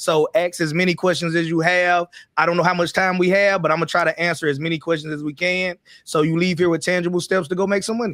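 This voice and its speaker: Over a very clean recording with a silent background, a man with a Southern US accent talks loudly at a very fast pace, his high voice held in a monotone, flat intonation. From US Deep South. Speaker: online business YouTuber. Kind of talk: livestream panel discussion.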